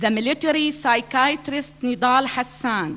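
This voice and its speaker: A woman talks at a very slow pace in an Arabic accent. Her voice sits high and her intonation is lively. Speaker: author, speaker. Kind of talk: public speech. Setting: stage with audience at conference.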